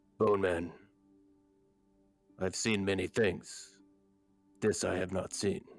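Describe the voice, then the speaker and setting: Using a raspy put-on character voice at a fairly low pitch, a man talks at a fairly slow pace with fairly even intonation and long, frequent pauses as faint music plays in the background. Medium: actual play. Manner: blunt, simple phrasing.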